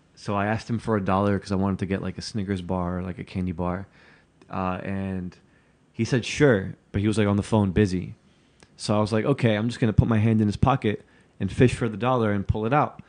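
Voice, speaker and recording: Fairly low in pitch, a man races along at a very fast pace with fairly even intonation. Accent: American. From New Jersey, Newark. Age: 30. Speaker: podcast host and video journalist. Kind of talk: casual interview chat.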